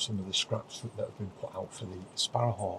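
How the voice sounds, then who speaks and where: A soft-spoken man's voice with a fairly low pitch. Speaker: wildlife photographer and vlogger. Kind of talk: casual vlog narration. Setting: inside a wildlife photography hide. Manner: quiet, speaking softly.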